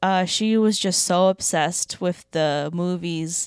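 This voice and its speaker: In a very clean recording with a silent background and a dry, close sound with no echo, a woman speaks at a medium pitch with ordinary pitch variation. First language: Russian. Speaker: comedian. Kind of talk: casual chat.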